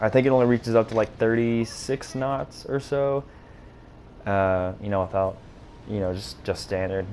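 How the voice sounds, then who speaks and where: In a Southern US accent, the speaker has a dark, mellow tone, ordinary pitch variation and a moderate pace. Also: man. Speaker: gaming YouTuber. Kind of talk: gameplay commentary. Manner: casual, hesitant with fillers.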